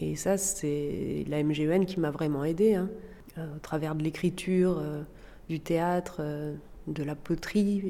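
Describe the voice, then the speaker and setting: A woman speaks at a very slow pace in a very deep, low pitch. Her tone is dark and mellow, with fairly even intonation. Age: 40s. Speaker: former teacher sharing postpartum depression experience. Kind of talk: testimony. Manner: hesitant, with frequent fillers.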